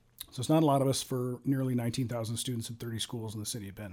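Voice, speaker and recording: A man with an American accent talks at a very fast pace with fairly even intonation. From Ohio, Cincinnati area. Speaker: police sergeant. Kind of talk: interview. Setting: studio.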